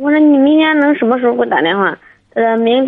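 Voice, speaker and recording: The speaker is a woman with a fairly high pitch. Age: 20s. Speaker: caller. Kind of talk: phone-in advice call. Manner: low-energy, listless.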